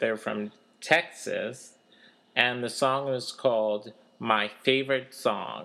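With a bright, sharp tone at medium pitch, a man speaks at a very slow pace using fairly even intonation. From Kansas City area. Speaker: college radio show co-host. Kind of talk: casual chat. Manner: halting.

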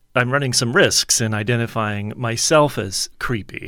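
On a very clean recording with a silent background, a man with an American accent speaks fairly slowly in a plain, everyday voice, medium in pitch with ordinary pitch variation. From US Deep South, New Orleans. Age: 50s. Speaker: author and professor. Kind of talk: interview. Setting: studio.

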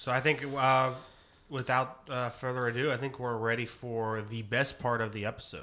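A man speaks with fairly even intonation. His tone is bright and sharp. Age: 30s. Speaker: podcast host. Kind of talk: casual chat. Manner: halting.

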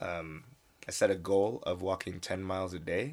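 At a fairly slow pace, a man with a very deep, low pitch speaks in an American accent. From United States. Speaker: podcast host. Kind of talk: casual chat.

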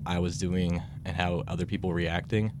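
Noticeable background noise fills the clip. A man talks at a fairly quick pace. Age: young. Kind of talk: casual chat. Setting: studio.

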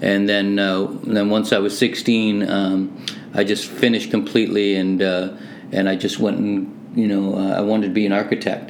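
Over noticeable background noise, a man speaks at a fairly low pitch with hardly any pauses. His loudness stays very even, and his intonation is fairly even too. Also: moderate pace. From Hamilton, Ontario, Canada (born Manchester, England). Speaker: music producer. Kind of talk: casual interview chat.

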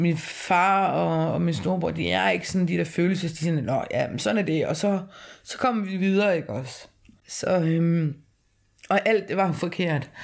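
A woman's fairly low voice, fairly slow in pace, with ordinary pitch variation. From rural Denmark. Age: 30s. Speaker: interviewee, former heavy drinker. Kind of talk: personal testimony. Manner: halting.

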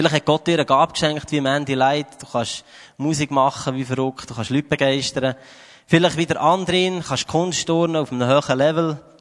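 A normal speaking voice from a man, fairly high in pitch and fairly quick, with fairly even intonation and a dry, close sound without echo. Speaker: preacher. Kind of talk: sermon. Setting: church stage with audience.

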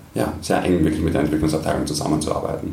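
A man with an Austrian accent speaks at a very deep, low pitch in a monotone, flat intonation. Noticeable background noise and audible room echo fill the recording. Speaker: tech community country manager. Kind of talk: interview. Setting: office kitchen.

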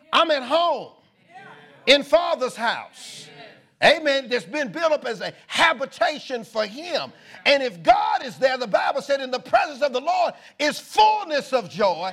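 Music plays in the background as a man with an extremely high pitch speaks at a fairly slow pace. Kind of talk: sermon, preacher in full flow. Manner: animated, call-and-response, exhorting the congregation; emphatic, repetitive, rhythmic preaching cadence.

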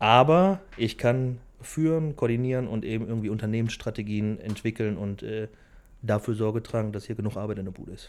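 A man with a plain, everyday voice talks at a fairly quick pace and medium pitch, with ordinary pitch variation and big swings in loudness, on a very clean recording with a silent background. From Germany, Velbert (Bergisches Land, NRW). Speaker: business owner. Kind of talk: interview. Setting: factory hall.

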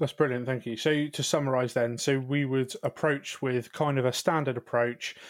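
At a moderate pace and with hardly any pauses, a man speaks at a medium pitch in a monotone, flat way. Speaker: paramedic. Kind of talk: educational podcast.

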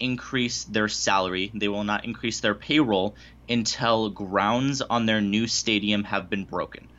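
In an unremarkable speaking voice, a man talks at a fairly slow pace with a fairly low pitch and ordinary pitch variation. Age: 20s. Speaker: baseball writer and podcast host. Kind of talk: casual interview.

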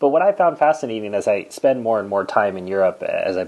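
A normal speaking voice moves at a fairly quick pace. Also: man. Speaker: podcast host. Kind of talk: interview.

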